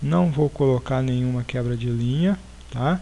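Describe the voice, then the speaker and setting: The pace is fairly slow. A man speaks with ordinary pitch variation. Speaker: programming teacher. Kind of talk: tutorial. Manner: halting, many fillers.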